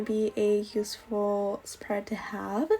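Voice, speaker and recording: Noticeable background noise can be heard while a woman speaks. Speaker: bullet journal YouTuber. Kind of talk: tutorial. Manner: casual, hesitant with fillers.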